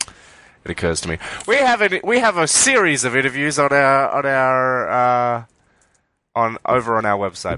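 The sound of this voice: A man's bright, sharp voice with an Australian accent and ordinary pitch variation, dry and close with no echo over a quiet background.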